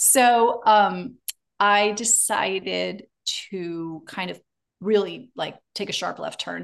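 A woman of medium pitch talks at a very slow pace, her loudness swinging widely. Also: ordinary pitch variation. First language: German. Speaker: speech therapist. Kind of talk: interview conversation.

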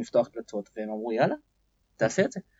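A man talking at a very fast pace, somewhat breathy, with very wide pitch swings. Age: 40s. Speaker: entrepreneur and business development CEO. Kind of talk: interview. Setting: studio.

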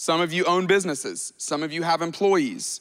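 Someone speaks with an American accent at a fairly slow pace. The recording is very clean, with a silent background. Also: man. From US South, Alabama. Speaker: pastor. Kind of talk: sermon. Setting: church. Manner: animated.

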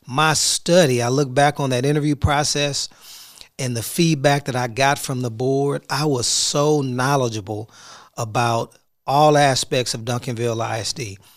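A man's medium-pitched, plain, everyday voice at a moderate pace, fairly even in intonation, on a very clean recording with a silent background. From Houston, Texas. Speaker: school superintendent. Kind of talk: solo podcast reflection.

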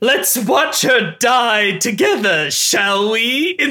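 The speaker uses a put-on character voice with a fairly high pitch. Delivery comes at a very slow pace. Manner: menacing, taunting.

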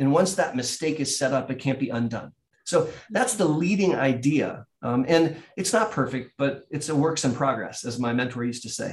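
A man speaks in an ordinary speaking voice at a moderate pace. His pitch is fairly high, with ordinary pitch variation. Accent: American. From US Midwest (Columbus, Ohio). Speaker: neurologist. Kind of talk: explanatory interview.

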